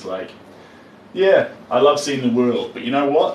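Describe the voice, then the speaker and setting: A man with a New Zealand accent at a moderate pace, with audible room echo and noticeable background noise. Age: 30s. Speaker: artist. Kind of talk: live stream chat while painting. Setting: live stream. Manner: animated.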